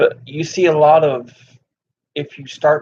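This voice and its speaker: With a Southern US accent, a man is speaking. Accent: Southern twang. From US South. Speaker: gaming streamer. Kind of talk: casual live stream chat. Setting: live stream.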